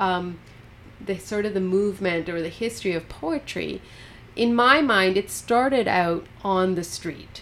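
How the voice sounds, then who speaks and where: This woman has a Western Canadian accent and medium pitch. She speaks at a fairly slow pace. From Canada, British Columbia (Golden). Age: 40s. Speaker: poet. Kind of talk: casual chat. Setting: studio.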